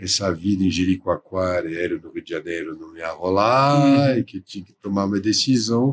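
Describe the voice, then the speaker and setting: A fairly low-pitched man talks at a moderate pace with lively intonation and hardly any pauses. His loudness swings widely. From France, near Paris. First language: French (speaking Portuguese). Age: 60s. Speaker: baker and entrepreneur. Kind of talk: interview.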